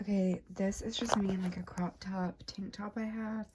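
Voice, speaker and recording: Over noticeable background noise, a woman speaks at a fairly slow pace in a monotone, flat delivery. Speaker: vlogger. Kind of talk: casual vlog.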